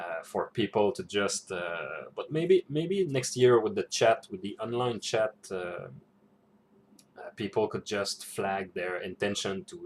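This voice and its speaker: Fairly slow speech from a man with a non-native accent. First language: not English. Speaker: role-playing game vlogger. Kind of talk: casual reflection vlog. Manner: halting, many fillers and repetitions.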